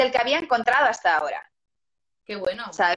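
Her tone is bright and sharp. A woman uses a raised, projected voice. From Galicia, Spain (Lugo). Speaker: singer and actress. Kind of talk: interview.

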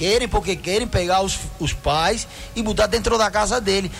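A man with a Spanish accent speaks at a moderate pace and a high pitch, with ordinary pitch variation and noticeable background noise. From Cuba. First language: Spanish (speaking Portuguese). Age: 50s. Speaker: doctor and dermatologist. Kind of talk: radio health advice segment. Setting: radio studio.

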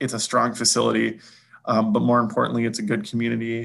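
Delivered at a fairly quick pace, this voice carries vocal fry and a Midwestern American accent. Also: man. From eastern Iowa. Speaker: hospital administrator. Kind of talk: interview conversation.

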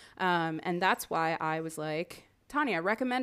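An unremarkable speaking voice from a woman with an American accent, fairly low-pitched with ordinary pitch variation, on a very clean recording with a silent background. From Miami, Florida. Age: 30s. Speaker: podcast producer and end-of-life doula. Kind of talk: casual interview chat.

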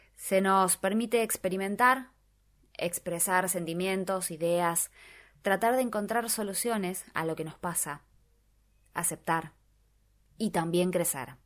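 On a very clean recording with a silent background, a woman talks at a fairly slow pace and medium pitch, with ordinary pitch variation and long, frequent pauses. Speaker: radio host. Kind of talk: radio talk show.

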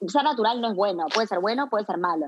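Lively intonation from a woman with a medium-pitched voice. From Uruguay, Montevideo. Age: 30s. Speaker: skincare brand founder. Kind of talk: interview. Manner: halting.

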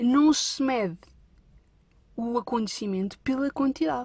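A woman talks in a high voice with lively intonation. Her tone is animated. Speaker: podcast host. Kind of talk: casual storytelling monologue.

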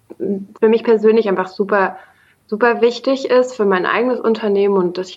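The speaker goes at a fairly quick pace in a monotone, flat intonation. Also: woman. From Germany, Bonn. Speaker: startup founder and CEO. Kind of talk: interview.

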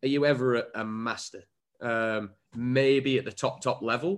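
A man's medium-pitched voice with an English accent on a very clean recording with a silent background. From England. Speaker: former footballer and coach. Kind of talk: interview.

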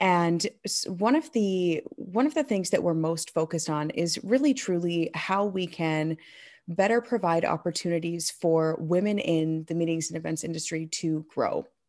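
In a very clean recording with a silent background, a woman speaks with a US Midwestern accent. Her pitch is fairly low, her pace moderate, and her pitch variation ordinary. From Michigan, US. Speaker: keynote speaker and event emcee. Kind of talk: interview conversation.

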